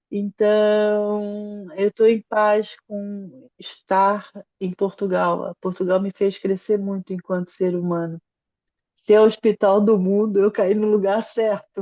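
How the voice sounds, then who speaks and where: Very slowly, a woman speaks at a medium pitch in a dark, mellow tone with monotone, flat intonation. The sound is dry and close, with no echo. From Brazil. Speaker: psychologist and family constellation facilitator. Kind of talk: interview conversation.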